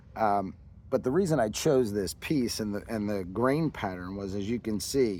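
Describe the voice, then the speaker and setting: A man with an American accent, a dark, mellow tone, ordinary pitch variation and a moderate pace. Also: fairly low pitch for a man. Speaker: woodcarver and artist. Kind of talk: casual explanation of own artwork.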